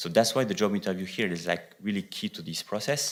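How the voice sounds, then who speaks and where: A man with a French accent talks at a fairly quick pace and fairly low pitch in a very clean recording with a silent background. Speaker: economics researcher. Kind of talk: conference presentation. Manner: hesitant, many fillers.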